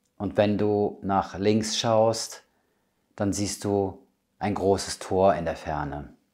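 Very slowly and in a calm, soothing way, a man speaks with a dark, mellow tone at fairly low pitch, with ordinary pitch variation over a quiet background. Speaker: medium and spiritual healer. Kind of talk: guided meditation. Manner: calm, slow, soothing; gentle, intimate, addressing listener as du. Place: home room.

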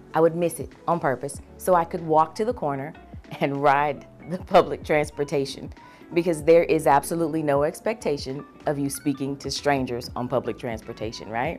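Faint music plays behind a woman with a very deep, low pitch. She talks at a moderate pace with ordinary pitch variation. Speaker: voice actor; Navy veteran. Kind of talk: talent introduction to camera.

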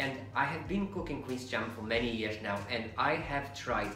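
Moderate pace and ordinary pitch variation, with faint music in the background and audible room echo. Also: man. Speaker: home cook vlogger. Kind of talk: casual cooking tutorial. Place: kitchen.

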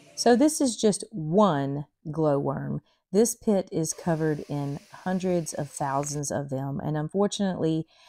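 A woman's very deep, low voice at a fairly slow pace, with ordinary pitch variation. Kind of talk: explanatory commentary. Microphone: phone near.

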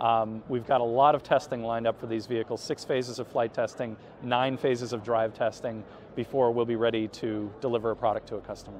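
A man at a very fast pace, in a dry sound with no echo and light background noise. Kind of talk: interview answer. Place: hall. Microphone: camera far.

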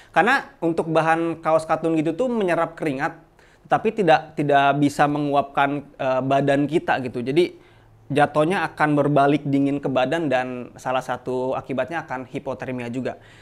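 This man's voice sits at a fairly high pitch. His pitch variation is ordinary. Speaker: outdoor gear shop presenter. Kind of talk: product demo and sales pitch, like a street seller hawking wares. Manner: fast, chatty, upbeat pitchman patter; casual Jakarta slang, hard-sell push to subscribe and buy. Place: shop.

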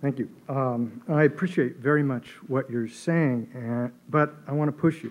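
Here a man talks at a fairly slow pace, with hardly any pauses. His pitch is fairly high, and his intonation is fairly even. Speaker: audience member. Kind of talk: audience question. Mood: earnest, challenging. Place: hall. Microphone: podium.

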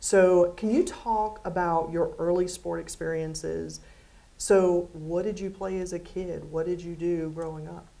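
A woman speaks at a fairly slow pace with monotone, flat intonation and big swings in loudness. Her voice has a fairly low pitch and a dark, mellow tone. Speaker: athletics director; interviewer, event moderator. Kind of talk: interview on stage. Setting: stage with audience. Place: hall.

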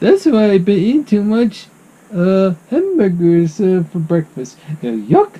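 A put-on character voice at middle pitch moves along at a fairly slow pace. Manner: goofy, excitable.

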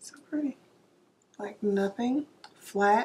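Speaking at a very slow pace, a woman has a somewhat breathy, dark, mellow tone at medium pitch. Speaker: beauty vlogger. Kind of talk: makeup tutorial. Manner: casual, chatty.

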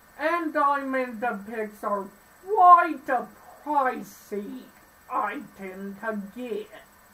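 A woman's high-pitched voice, very slow in pace, with lively intonation. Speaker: gaming YouTuber. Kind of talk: let's play commentary. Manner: halting, with filler words. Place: home room. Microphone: phone near.

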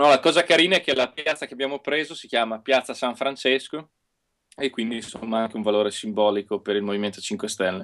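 A man talks at a very fast pace with lively intonation and big swings in loudness. The background is quiet. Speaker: local politician; guest. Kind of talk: casual chat. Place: home room. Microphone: unstable connection; earbuds.

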